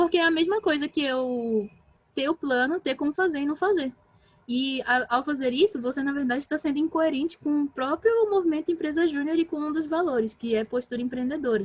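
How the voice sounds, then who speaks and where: Speaking at a fairly quick pace, a woman with a high pitch is heard in a dry, close recording with no echo. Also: ordinary pitch variation. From Brazil, Pará. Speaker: talk speaker on team management. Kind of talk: online talk / workshop. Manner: fast; animated.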